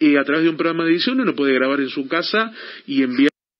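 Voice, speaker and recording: A man uses an ordinary speaking voice with ordinary pitch variation. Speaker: radio host. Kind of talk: radio interview questions.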